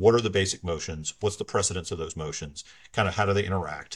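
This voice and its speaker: A very deep, low-pitched man's voice, somewhat breathy, at a very fast pace with ordinary pitch variation, on a very clean recording with a silent background. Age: 40s. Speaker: church elder and lawyer. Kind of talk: casual interview.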